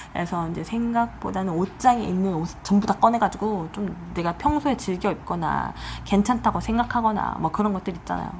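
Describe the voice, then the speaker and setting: Noticeable background noise fills the clip. Over it, a woman talks fairly quickly. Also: medium pitch for a woman, ordinary pitch variation. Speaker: tarot reader. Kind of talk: tarot reading video monologue. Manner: fast; casual, conversational.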